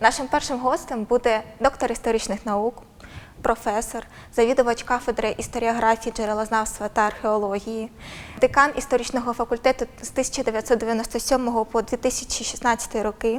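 Monotone, flat intonation at a moderate pace. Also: woman. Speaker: interviewer. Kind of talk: interview. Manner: formal.

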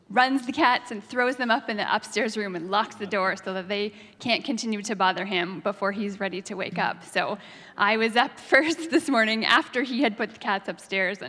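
The background is quiet as a woman speaks at a moderate pace. Her tone is bright and sharp, with ordinary pitch variation. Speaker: preacher. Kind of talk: sermon. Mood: warm, amused storytelling. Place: church. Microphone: handheld.

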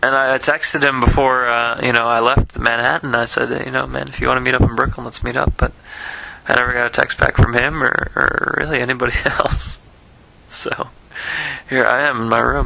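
A man speaks at a fairly quick pace. The sound is dry with no echo. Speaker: diarist recording a personal voice memo; vlogger. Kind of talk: personal audio diary, late-night recollection. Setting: alone, speaking into a voice recorder late at night. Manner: halting, many fillers and repetitions. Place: home room. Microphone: phone near.

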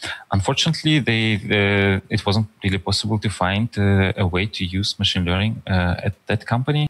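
A man's fairly low voice in a Russian accent, with ordinary pitch variation, a moderate pace and hardly any pauses. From far east of Russia. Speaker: data scientist and author; podcast guest. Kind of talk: interview conversation. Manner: halting with many fillers. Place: home room. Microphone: headset.

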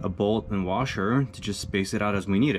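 A man speaks at a fairly low pitch, with faint music playing in the background. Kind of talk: casual build vlog narration. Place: open country. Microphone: camera far.

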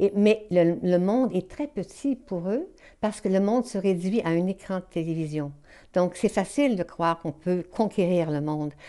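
With a Quebec accent, a woman speaks at medium pitch and a moderate pace, her tone dark and mellow with ordinary pitch variation over a quiet background. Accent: Québécois French. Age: 70s. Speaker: novelist. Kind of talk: interview. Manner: halting. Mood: calm, thoughtful.

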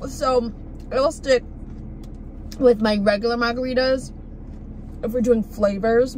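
A woman speaks at a high pitch with fairly even intonation, the sound dry with no echo and light background noise behind her. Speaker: food vlogger. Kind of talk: casual vlog chat. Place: car. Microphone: phone near.

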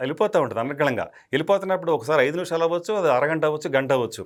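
On a very clean recording with a silent background, a man speaks. His pitch is fairly high and his intonation lively. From West Godavari, Andhra Pradesh. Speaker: film director. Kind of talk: interview reminiscence.

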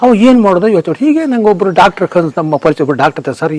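A man's voice moves through very wide pitch swings. Noticeable background noise sits behind him. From rural Karnataka, India. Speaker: paddy trader, customer testimonial. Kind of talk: testimony.

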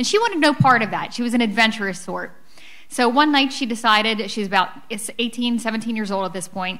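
In an American accent, a woman with a bright, sharp tone and fairly high pitch speaks at a moderate pace over a quiet background. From Philadelphia, US. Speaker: author; author on panel. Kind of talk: book talk. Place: hall. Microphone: podium.

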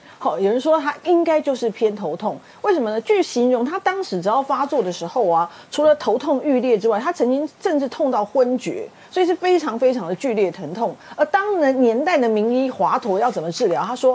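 At a fairly quick pace, a woman talks in a high voice. Her pitch swings very widely. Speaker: veteran journalist. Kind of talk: casual chat. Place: studio. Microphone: lapel.

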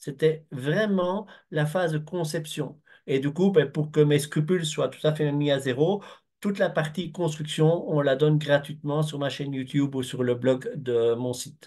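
A man's somewhat breathy, dark, mellow voice, fairly high in pitch, with ordinary pitch variation at a fairly slow pace. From Belgium. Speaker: construction project consultant. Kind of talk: webinar presentation. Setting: video call. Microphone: video call.

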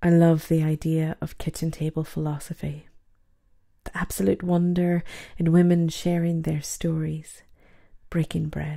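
A woman's fairly low, somewhat breathy voice, dark and mellow in tone, flat and monotone, fairly slow with long, frequent pauses, on a very clean recording with a silent background. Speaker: poet. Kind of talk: spoken word poetry reading.

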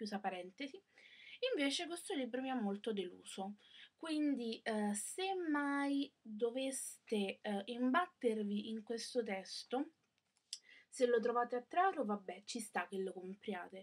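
A woman's fairly high voice with lively intonation, at a very slow pace with long, frequent pauses, against a quiet background. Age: young. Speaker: book vlogger. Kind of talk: casual book review. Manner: hesitant, many fillers. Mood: critical, disappointed. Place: home room. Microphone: webcam.

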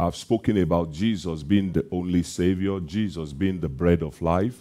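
Against a quiet background, a man with a very deep, low pitch and a dark, mellow tone speaks at a fairly slow pace with ordinary pitch variation. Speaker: preacher. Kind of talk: sermon. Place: church. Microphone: headset.

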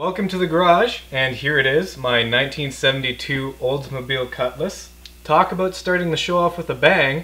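Ordinary pitch variation marks a man speaking at a moderate pace. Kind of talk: casual vlog chat.

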